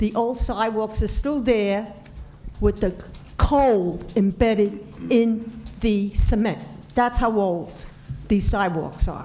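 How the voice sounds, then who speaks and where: Over noticeable background noise and audible room echo, a woman speaks very slowly at a fairly high pitch with fairly even intonation. Her pauses are long and frequent. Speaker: resident speaking at public comment. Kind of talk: public comment at council meeting. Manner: loud.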